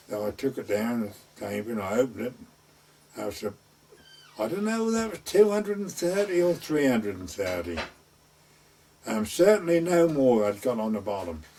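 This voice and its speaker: With an East Anglian accent, the speaker moves at a moderate pace through very wide pitch swings against noticeable background noise. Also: man. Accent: rural East Anglian dialect. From North Essex / West Suffolk border. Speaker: gamekeeper and gardener, traditional storyteller. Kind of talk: oral history storytelling.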